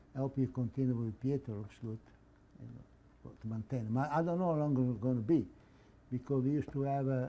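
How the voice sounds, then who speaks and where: This man speaks fairly quickly with an Italian accent. His medium-pitched voice has a dark, mellow tone. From northern Italy. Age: 80s+. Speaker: immigrant and former club president. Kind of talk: interview. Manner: halting.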